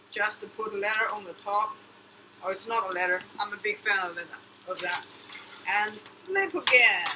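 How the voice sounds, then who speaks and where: Speech at a moderate pace, with long, frequent pauses and noticeable background noise. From China. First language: Chinese. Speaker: cooking vlogger. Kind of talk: casual cooking vlog. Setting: home kitchen. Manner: animated.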